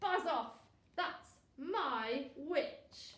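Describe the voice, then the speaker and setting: A woman puts on a croaky, growling, shrill character voice at an extremely high pitch with very wide pitch swings and a slight echo. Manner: threatening.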